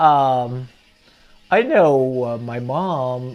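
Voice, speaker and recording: With a central Pennsylvania accent, a man speaks at a fairly high pitch. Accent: central Pennsylvania American. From Pennsylvania, Altoona. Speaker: grandfather recalling history. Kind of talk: casual interview reminiscence. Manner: halting, many fillers.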